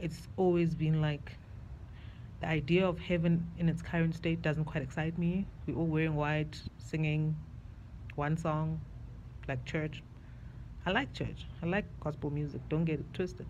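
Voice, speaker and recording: Fairly slow speech broken by long, frequent pauses, with audible room echo. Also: woman. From South Africa. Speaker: video diarist. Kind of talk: personal video diary monologue. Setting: outdoors on a balcony. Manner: casual, reflective.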